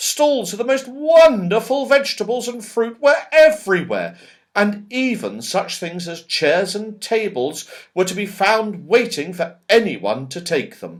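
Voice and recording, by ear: At a fairly slow pace, a man speaks with a high pitch and big pitch swings.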